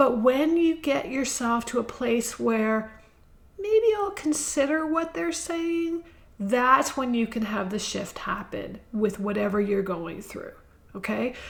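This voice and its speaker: A woman's high voice with very wide pitch swings at a very slow pace, over noticeable background noise. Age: 60s. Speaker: podcast host. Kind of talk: inspirational monologue. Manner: conversational.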